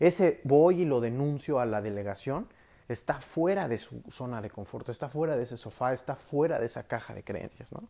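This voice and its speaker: The voice has a dark, mellow tone and lively intonation. Loudness swings widely at a moderate pace. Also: man, medium pitch for a man. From Mexico. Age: 20s. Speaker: psychologist and life coach. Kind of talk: solo podcast talk. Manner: halting with filler words.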